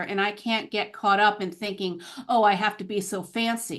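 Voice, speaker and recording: An ordinary speaking voice at a moderate pace against a quiet background. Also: woman. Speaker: language teacher and author of graded readers. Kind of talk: interview.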